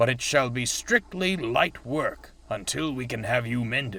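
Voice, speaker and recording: Using a put-on character voice, a man talks at a medium pitch and moderate pace. His intonation is lively. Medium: read story. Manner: formal, authoritative.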